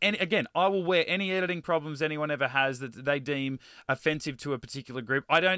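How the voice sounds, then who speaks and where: Very fast speech in an Australian accent comes through in a bright, sharp tone, recorded dry and close with no echo on a very clean, silent background. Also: man, fairly high pitch for a man, ordinary pitch variation. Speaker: podcast co-host. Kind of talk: casual chat.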